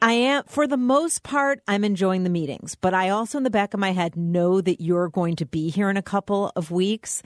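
In a very clean recording with a silent background, a woman speaks at a moderate pace with hardly any pauses, a medium pitch and lively intonation. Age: 50s. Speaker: podcast co-host, business owner. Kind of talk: casual chat.

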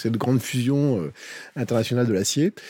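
A man's normal speaking voice at a medium pitch and fairly quick pace, on a very clean recording with a silent background. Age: 50s. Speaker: HR director. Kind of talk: casual chat.

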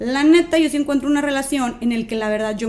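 A woman speaks very fast. Her voice is high-pitched. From Mexico, Monterrey. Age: 20s. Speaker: social media activist and speaker. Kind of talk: casual chat.

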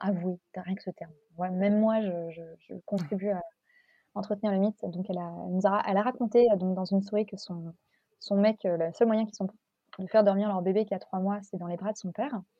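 A woman's medium-pitched voice is somewhat breathy, and her intonation stays fairly level. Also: fairly quick pace, big swings in loudness. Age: 30s. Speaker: mother sharing birth story. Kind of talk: testimony.

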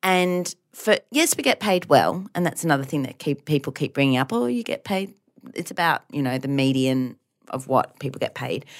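Moderately paced, lively speech in an Australian accent, dry and close with no echo, on a very clean recording with a silent background. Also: woman, very deep, low pitch for a woman. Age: 30s. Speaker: podcast co-host, teacher. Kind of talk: casual chat.

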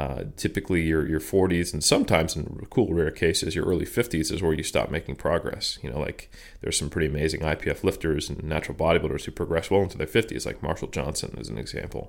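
In a very clean recording with a silent background, a man with a very deep, low voice and vocal fry talks at a very fast pace with ordinary pitch variation. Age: 30s. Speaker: strength and conditioning researcher and coach. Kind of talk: interview conversation.

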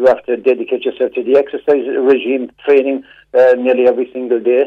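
A man with a Cork accent at a fairly quick pace. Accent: Cork Irish. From Cork, Ireland. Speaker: caller. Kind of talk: radio call-in. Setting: phone call. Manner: animated.

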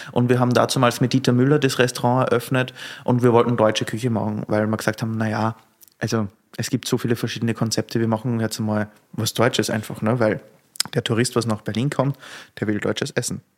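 A man's medium-pitched voice in an Austrian accent, very fast and monotone, with flat intonation. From Austria, rural Lower Austria. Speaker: sommelier and restaurateur. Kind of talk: casual interview. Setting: on location in a venue.

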